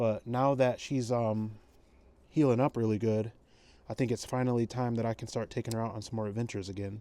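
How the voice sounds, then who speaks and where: At a fairly quick pace, a man speaks in a monotone with flat intonation, his dark, mellow tone sitting at a medium pitch. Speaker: retired police K9 handler, vlogger. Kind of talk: casual vlog narration. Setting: at home, then outdoors at night. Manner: casual, hesitant with fillers.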